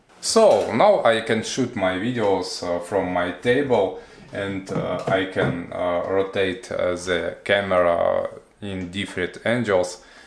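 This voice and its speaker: Speech comes at a very slow pace with audible room echo. Music plays in the background. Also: man. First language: not English. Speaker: product reviewer. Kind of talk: product review. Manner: halting, many fillers.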